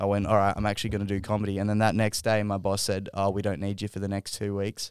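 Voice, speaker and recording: In a very clean recording with a silent background, a man with an Australian accent talks very fast in a fairly low pitch, the sound dry and close with no echo. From Western Sydney, Australia. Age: 20s. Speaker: comedian. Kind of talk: casual chat. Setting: studio.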